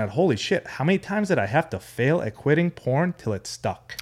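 Somewhat breathy, a man speaks at a moderate pace with very wide pitch swings. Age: 30s. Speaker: podcaster, guest on men's mental health. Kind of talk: casual chat.

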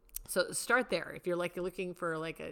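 A woman speaks in an animated tone with vocal fry. Her pitch is fairly low. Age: 50s. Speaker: podcast host. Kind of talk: casual chat.

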